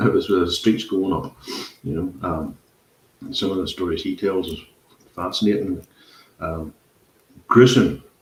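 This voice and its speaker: A Northern Irish accent at a moderate pace, broken by long, frequent pauses. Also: man. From Northern Ireland. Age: 50s. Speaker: podcast host. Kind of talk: casual chat.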